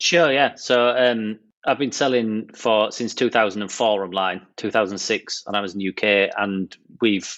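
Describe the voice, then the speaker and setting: A British accent from a man, fairly low in pitch with ordinary variation, at a moderate pace against a quiet background. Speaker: online seller. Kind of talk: podcast interview.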